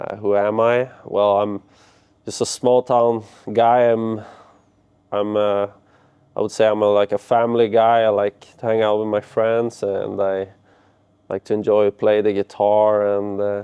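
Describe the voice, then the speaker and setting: Pausing long and often, a man speaks at a fairly slow pace in a fairly low pitch with monotone, flat intonation. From Sweden, Örnsköldsvik. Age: 20s. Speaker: ice hockey player. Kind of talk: interview. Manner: halting.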